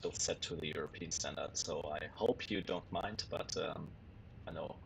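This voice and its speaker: A man talks at a moderate pace in a German accent. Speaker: flight sim streamer. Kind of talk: live stream commentary. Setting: home sim rig live stream. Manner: casual, hesitant with fillers.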